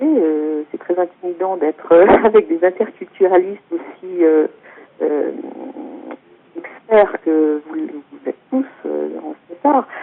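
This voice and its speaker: Over background music, a woman speaks at a medium pitch and a very slow pace, with lively intonation, big swings in loudness, and long, frequent pauses. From France. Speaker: author and intercultural consultant. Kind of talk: talk presentation. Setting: teleconference. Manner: hesitant, many fillers.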